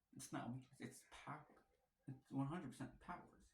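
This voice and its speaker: A man speaks at a medium pitch with ordinary pitch variation. His voice is somewhat breathy, with a playful tone. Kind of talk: casual talk to camera. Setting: wearing a mask. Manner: playful, rambling.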